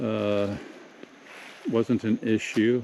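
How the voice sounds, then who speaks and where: A man speaks with a dark, mellow tone. His pitch sits fairly low. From Southern California. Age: 60s. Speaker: vlogger. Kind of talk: casual monologue. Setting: pacing around while talking. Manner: halting.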